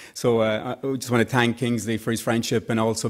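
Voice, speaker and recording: In an Irish accent, a man speaks at a fairly quick pace and a medium pitch. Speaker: tech executive and organization founder. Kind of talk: conference speech.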